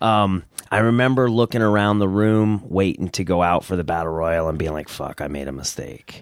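With a northeastern US accent, a man speaks at a moderate pace in a very deep, low pitch with ordinary pitch variation. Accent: northeastern US, remarked on. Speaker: wrestler. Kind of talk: casual chat.

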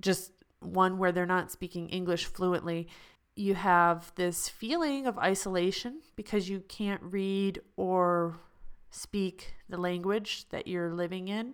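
In an American accent, a woman speaks at a very slow pace with a medium pitch and fairly even intonation, the recording very clean with a silent background. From United States. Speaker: podcast host, expat. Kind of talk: solo podcast monologue; reading news headlines.

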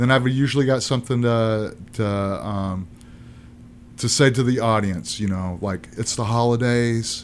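Fairly slow speech with fairly even intonation is heard in a room with audible echo. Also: man, medium pitch for a man. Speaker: multimedia artist and comedian. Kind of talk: casual chat.

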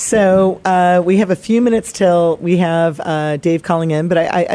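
The recording is very clean, with a silent background. A woman speaks at a fairly low pitch in a dark, mellow tone. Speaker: podcast host. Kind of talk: casual chat. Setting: studio. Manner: excitable.

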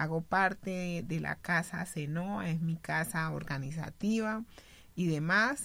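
This bright, sharp-toned voice moves at a very slow pace with ordinary pitch variation. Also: woman, fairly low pitch for a woman. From Colombian Pacific coast, Buenaventura. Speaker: community leader and sociologist. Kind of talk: radio panel conversation. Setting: radio studio.

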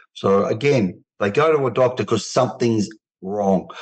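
A man with an Australian accent speaks at a moderate pace. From Australia, Melbourne. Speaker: men's health advocate, cancer survivor. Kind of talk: interview.

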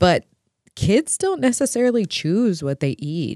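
Her pitch swinging very widely, a woman is heard in a very clean recording with a silent background and a dry, close sound with no echo. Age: young. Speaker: podcast co-host. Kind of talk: casual chat. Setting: studio.

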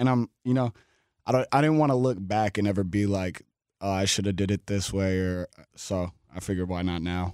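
Recorded very cleanly against a silent background, with a dry, close sound and no echo, a man uses a normal speaking voice that is fairly low in pitch, at a fairly quick pace with ordinary pitch variation. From Seattle, Washington, US. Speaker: rapper. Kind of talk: casual chat.

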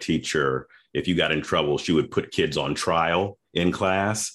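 Using vocal fry, a man with an American accent speaks fairly slowly with ordinary pitch variation. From US South, Memphis, Tennessee. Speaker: lawyer. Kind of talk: interview.

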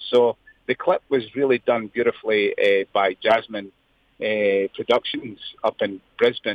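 A man speaks with a Scottish accent. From Scotland, Lanarkshire and near Edinburgh. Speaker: singer-songwriter. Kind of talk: interview. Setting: phone call.

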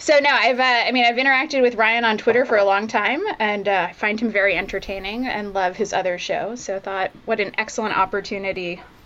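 Over noticeable background noise, a woman races along at a very fast pace with hardly any pauses, her fairly high pitch varying an ordinary amount. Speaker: biotech scientist. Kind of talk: casual chat. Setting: video call.

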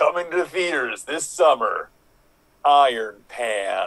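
Using a put-on character voice, a man speaks at a fairly slow pace with a high pitch. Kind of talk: trailer voiceover.

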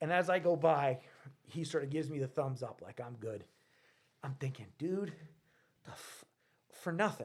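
A man with an American accent, fairly high-pitched and somewhat breathy, at a moderate pace with ordinary pitch variation, big swings in loudness, and long, frequent pauses. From Rhode Island, US. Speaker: mechanic and vintage vehicle restorer. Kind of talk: casual chat. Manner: animated.

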